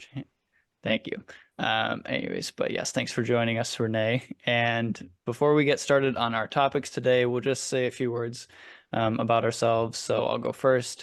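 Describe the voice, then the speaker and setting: In a monotone, flat delivery, a man with an American accent talks at a moderate pace and medium pitch over a quiet background. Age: 20s. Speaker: podcast host. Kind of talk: casual podcast discussion.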